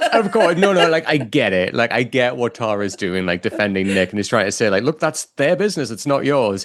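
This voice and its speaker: Amid noticeable background noise, a man talks at a fairly quick pace with hardly any pauses, a medium pitch, and very wide pitch swings. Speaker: podcast co-host. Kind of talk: casual chat. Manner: animated.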